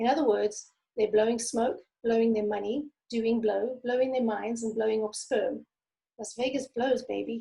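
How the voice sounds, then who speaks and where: The voice has a dark, mellow tone and flat, monotone intonation, moving at a moderate pace. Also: woman, fairly high pitch for a woman. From South Africa. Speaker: memoir author. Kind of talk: reading aloud; casual interview chat. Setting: video call.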